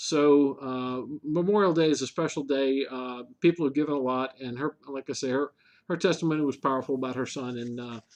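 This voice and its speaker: Using a normal speaking voice, a man talks at a fairly quick pace and a fairly high pitch with fairly even intonation. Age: 60s. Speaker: local government official, show co-host. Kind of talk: casual chat.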